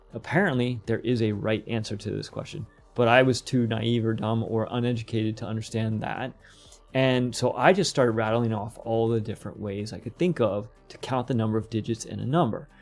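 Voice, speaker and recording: The speech moves at a fairly quick pace with fairly even intonation. Faint music plays in the background. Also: man. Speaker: game development tutorial streamer; podcast guest. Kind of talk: live tutorial stream; interview answer. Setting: live stream. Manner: fast; casual, with fillers and restarts. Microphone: earbuds.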